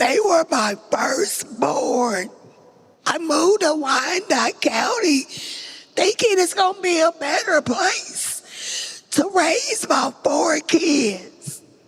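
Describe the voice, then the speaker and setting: A woman with an extremely high pitch speaks at a very slow pace, making very wide pitch swings. Her loudness stays very even over noticeable background noise. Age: 60s. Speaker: panelist, mother of imprisoned sons. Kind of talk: testimony. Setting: stage with audience.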